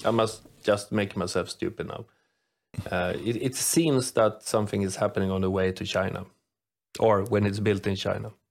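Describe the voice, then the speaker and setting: Speaking with a Swedish accent, a man with a fairly low pitch talks at a moderate pace with ordinary pitch variation on a very clean recording with a silent background. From Sweden. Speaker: podcast co-host, metallurgist. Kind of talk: casual chat.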